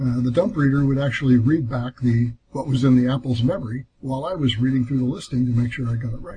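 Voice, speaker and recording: Somewhat breathy and at medium pitch, a man races along at a very fast pace with hardly any pauses and fairly even intonation. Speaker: Apple II hardware designer guest. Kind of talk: casual interview.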